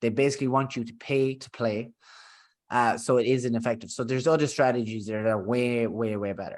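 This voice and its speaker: A man with a strong Irish accent talks at a very fast pace and medium pitch, with fairly even intonation. His loudness swings widely against a quiet background. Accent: thick Irish. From Ireland. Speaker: business founder and podcast host. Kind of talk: podcast conversation. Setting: remote recording, co-host in next room. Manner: casual, filler-heavy.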